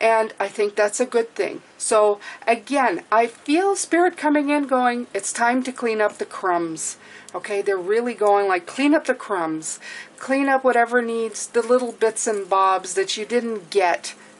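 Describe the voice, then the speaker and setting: Spoken at a fairly slow pace with lively intonation, the voice sits over noticeable background noise. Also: woman, fairly high pitch for a woman. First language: French. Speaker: tarot reader. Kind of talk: tarot reading. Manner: casual, conversational with fillers.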